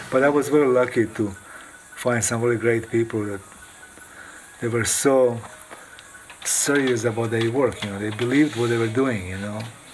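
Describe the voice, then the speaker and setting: Through noticeable background noise, a man at medium pitch talks at a moderate pace with fairly even intonation and long, frequent pauses. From Croatia. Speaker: video artist. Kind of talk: interview testimony.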